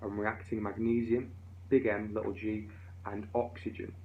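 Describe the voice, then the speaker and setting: A man's fairly low voice in audible room echo. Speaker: physics teacher. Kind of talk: tutorial. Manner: fast.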